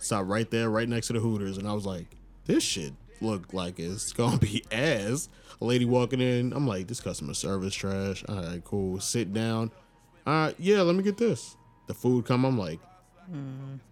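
With a New York accent, a man talks at a moderate pace and a medium pitch. His intonation is lively. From Long Island, New York. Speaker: podcast co-host. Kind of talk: casual chat.

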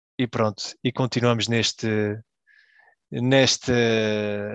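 A man of medium pitch speaks in a flat monotone. The sound is dry and close with no echo, over a quiet background. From Belgium, Portuguese family. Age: 30s. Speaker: football fan guest. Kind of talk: casual chat.

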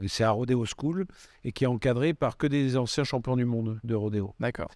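Man with a medium pitch and ordinary pitch variation at a fairly quick pace, in a dry, close sound with no echo and a very clean recording with a silent background. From Bordeaux, southwest France. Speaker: photographer. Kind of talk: casual interview. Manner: hesitant, many fillers.

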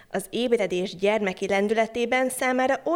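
With ordinary pitch variation, the speaker does plain reading aloud.

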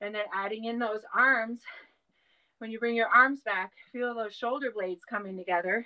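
Speaking in an American accent, a woman has a fairly high pitch, a bright, sharp tone, fairly even intonation and a moderate pace. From Wisconsin, Ojibwe community. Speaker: dance fitness instructor and designer. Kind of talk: fitness class instruction; interview. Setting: home studio.

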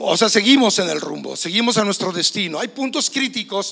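This is a man's voice. He speaks with a Mexican accent. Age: 60s. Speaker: pastor. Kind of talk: sermon.

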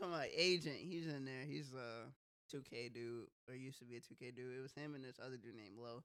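At a fairly quick pace with hardly any pauses, a man speaks in a bright, sharp tone at medium pitch with ordinary pitch variation. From Wisconsin. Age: 20s. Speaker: podcast host. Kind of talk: casual chat.

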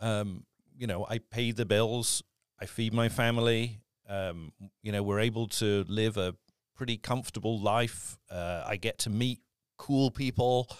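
A man with a British accent, medium pitch, fairly even intonation and a fairly slow pace, on a very clean recording with a silent background. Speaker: voice actor. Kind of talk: casual interview chat.

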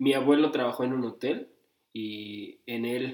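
This man has a plain, everyday voice. He keeps his intonation fairly even. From Mexico, Cuernavaca, Morelos. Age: 20s. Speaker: podcast co-host. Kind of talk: casual chat.

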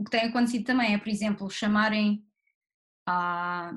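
With fairly even intonation, the speech comes out somewhat breathy. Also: woman. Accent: European Portuguese. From Portugal, Barreiro (Lisbon south bank). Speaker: actress. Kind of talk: interview.

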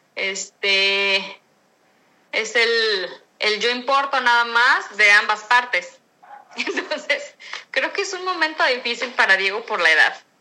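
A woman's high-pitched voice, bright and sharp in tone, at a very slow pace with very wide pitch swings. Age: 40s. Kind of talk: interview. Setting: remote recording.

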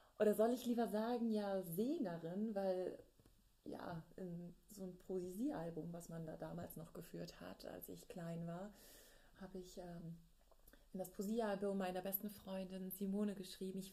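Amid audible room echo, a woman of medium pitch speaks at a fairly slow pace in a somewhat breathy, dark, mellow tone, with fairly even intonation and big swings in loudness. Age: 30s. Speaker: opera singer and podcast host. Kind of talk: personal diary-style podcast monologue.

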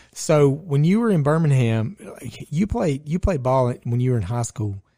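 A man speaks with a dark, mellow tone. His pace is fairly slow. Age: 40s. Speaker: podcast host. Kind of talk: casual chat.

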